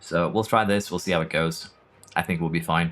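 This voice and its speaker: Music plays behind a man whose moderate-paced speech carries lively intonation. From Norway. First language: Norwegian. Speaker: gaming streamer. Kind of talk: live gameplay stream commentary. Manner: casual, conversational.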